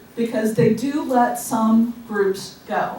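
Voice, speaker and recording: Audible room echo and noticeable background noise accompany a woman as she talks. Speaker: knitting guild president. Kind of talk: club meeting announcements. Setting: meeting room with audience, microphone. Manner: loud.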